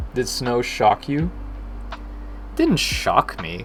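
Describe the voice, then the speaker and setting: A soft-spoken man with an American accent talks at a very slow pace over noticeable background noise. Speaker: game developer streaming. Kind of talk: casual live stream chat. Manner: soft, low volume.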